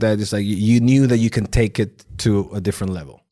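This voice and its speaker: Here a man speaks at a moderate pace. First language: not English. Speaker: podcast host. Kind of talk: casual interview.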